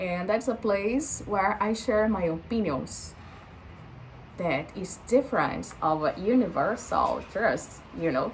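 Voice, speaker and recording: Speaking very slowly, a woman has a strong Brazilian accent and lively intonation at a medium pitch. Noticeable background noise can be heard. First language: Portuguese. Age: 20s. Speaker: vlogger. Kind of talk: casual vlog monologue, unscripted. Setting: talking to camera. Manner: halting, many fillers and false starts.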